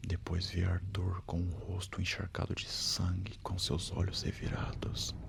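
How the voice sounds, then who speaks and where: Over noticeable background noise, a man speaks very slowly in a very deep, low pitch with flat, monotone intonation. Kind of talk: horror story narration. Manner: soft-spoken.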